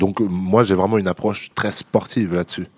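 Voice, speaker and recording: The speech moves at a moderate pace with ordinary pitch variation and a dry, close sound with no echo. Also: man. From France, Vendée. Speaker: MMA fighter. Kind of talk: interview.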